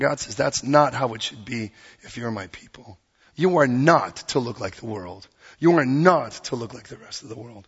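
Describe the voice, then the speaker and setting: Animated in tone and somewhat breathy, a man speaks at a medium pitch with ordinary pitch variation. His pace is moderate, and his loudness swings widely. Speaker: pastor. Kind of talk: sermon.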